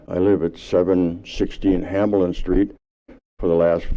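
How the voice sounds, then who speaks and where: A man with an Upper Midwest accent speaks at a moderate pace. His very deep, low voice stays monotone and flat. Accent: Upper Midwest American. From Wisconsin, Stoughton. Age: 70s. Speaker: local resident, public commenter. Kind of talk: public comment at council meeting. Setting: city council meeting.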